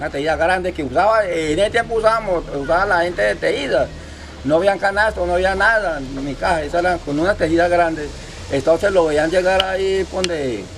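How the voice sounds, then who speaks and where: There is noticeable background noise behind this man. His voice is high-pitched, with ordinary pitch variation. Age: 70s. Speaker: fisherman and local elder. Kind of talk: interview, storytelling. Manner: halting, many repetitions.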